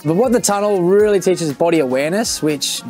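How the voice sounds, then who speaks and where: A man talking at a very fast pace over faint background music. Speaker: skydiving tunnel coach. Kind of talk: interview answer. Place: hall.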